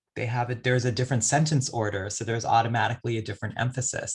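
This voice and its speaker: In a very clean recording with a silent background, a man speaks in a monotone, flat intonation with a somewhat breathy voice. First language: a non-English language, since lost. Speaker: poet. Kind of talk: audience Q&A answer. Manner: reflective, with many fillers.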